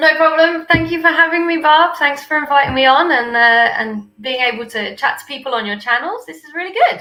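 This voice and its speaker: A woman speaks in a high, raised, projected voice with lively intonation and big swings in loudness. She moves at a fairly quick pace with hardly any pauses. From UK. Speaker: copywriter. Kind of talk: interview conversation.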